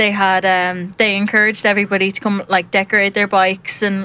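On a very clean recording with a silent background, a woman with a Dublin accent speaks at medium pitch in a flat monotone. Her tone is bright and sharp, and her pace fairly quick. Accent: Irish (Dublin). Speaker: podcast co-host. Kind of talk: live radio chat. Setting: studio.

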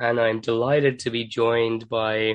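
A man talks at a fairly slow pace. His voice sits at a medium pitch. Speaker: podcast host. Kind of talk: podcast conversation.

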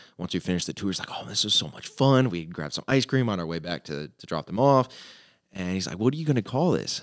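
Loud and very fast, a man with an American accent and a fairly low pitch talks with very wide pitch swings. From US South, southwest Florida (Fort Myers). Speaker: football coach. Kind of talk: casual chat. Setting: studio.

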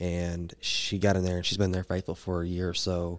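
Very deep and low, this man's voice carries a Southern US accent. The recording is very clean, with a silent background. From Arkansas. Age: 20s. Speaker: powerlifter and podcast host. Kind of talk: casual chat.

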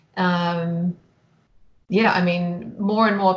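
The voice has a New Zealand accent. Its intonation is monotone and flat. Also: woman. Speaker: photographer. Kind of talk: casual interview chat.

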